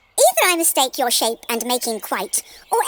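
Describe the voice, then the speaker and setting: In a put-on character voice that sounds female, the speaker delivers lines at a moderate pace. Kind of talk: Shakespearean verse drama. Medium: audio drama. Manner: sing-song, quick.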